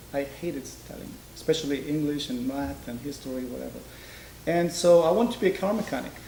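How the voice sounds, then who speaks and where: The speech comes at a very fast pace with big swings in loudness and ordinary pitch variation. Audible room echo surrounds it. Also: man, fairly high pitch for a man. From Israel, born in Georgia. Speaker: master dental technician. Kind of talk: interview.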